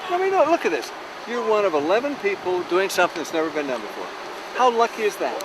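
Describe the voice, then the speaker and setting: Talking at a very fast pace with a high pitch and very wide pitch swings, a man is heard over noticeable background noise. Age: 50s. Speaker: expedition member. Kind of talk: casual chat.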